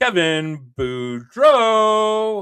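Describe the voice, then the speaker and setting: A booming put-on character voice with a fairly high pitch comes through a very clean recording with a silent background. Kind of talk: arena announcer. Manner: booming announcer.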